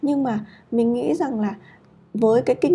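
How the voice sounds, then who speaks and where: A woman with a dark, mellow tone and a fairly high pitch speaks at a very fast pace. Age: 30s. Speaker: podcast host, japanese learning blogger. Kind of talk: casual solo talk. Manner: hesitant, many fillers.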